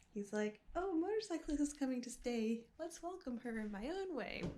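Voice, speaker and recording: A woman's high voice at a moderate pace, with very wide pitch swings, over noticeable background noise. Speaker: motorcycle travel vlogger. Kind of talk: casual vlog. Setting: hotel room.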